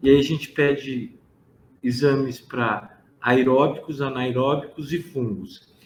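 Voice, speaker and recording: Somewhat breathy and medium in pitch, a man speaks at a very slow pace with fairly even intonation and audible room echo. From interior of São Paulo state, Brazil. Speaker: pharmacist. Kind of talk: lecture.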